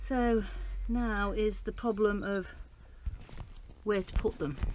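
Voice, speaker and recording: Lively intonation marks a woman's voice, recorded dry with no echo over light background noise. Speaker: home gardener vlogger. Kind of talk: casual vlog chat. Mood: chatty, lightly amused. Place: garden. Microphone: phone near.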